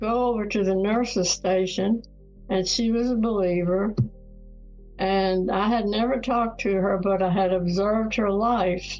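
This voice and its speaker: A woman at medium pitch speaks at a fairly slow pace with fairly even intonation and very even loudness. Music plays in the background. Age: 80s+. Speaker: retired professor and author. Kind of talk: interview answer.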